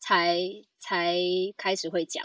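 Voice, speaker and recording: Very slowly, a woman speaks in a raised, projected voice with a bright, sharp tone. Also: dry, close sound with no echo. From Taiwan, Hakka family. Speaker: podcast guest. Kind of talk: casual chat.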